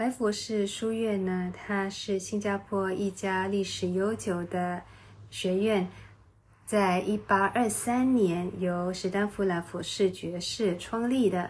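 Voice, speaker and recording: A somewhat breathy woman's voice, medium in pitch, at a very slow pace with fairly even intonation. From Singapore. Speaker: podcast host. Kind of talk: travel podcast narration.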